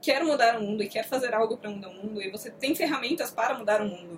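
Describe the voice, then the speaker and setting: Over noticeable background noise, a woman with a fairly high pitch and ordinary pitch variation speaks at a very fast pace. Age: young. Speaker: book reviewer, video host. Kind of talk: casual chat, book review. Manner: animated.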